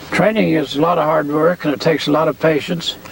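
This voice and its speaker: A man with a fairly high pitch talks while noticeable background noise fills the recording. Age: 80s+. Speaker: horse trainer. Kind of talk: interview testimony. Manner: halting, many fillers.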